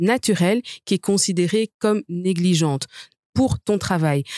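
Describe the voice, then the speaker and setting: A woman talks in a normal speaking voice with a fairly low pitch. Her intonation is lively and her pace fairly slow. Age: 30s. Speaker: lawyer. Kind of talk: debate.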